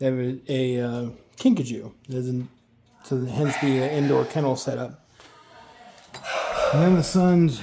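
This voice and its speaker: A soft-spoken man at a medium pitch with ordinary pitch variation and a fairly slow pace, amid noticeable background noise. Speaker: realtor. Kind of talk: property walkthrough tour.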